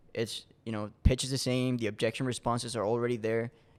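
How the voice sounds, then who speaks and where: Speaking with a Spanish accent, a man uses a medium pitch and a monotone, flat intonation at a fairly quick pace, in a very clean recording with a silent background. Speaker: door-to-door salesman. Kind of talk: podcast interview. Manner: casual, many repetitions and restarts.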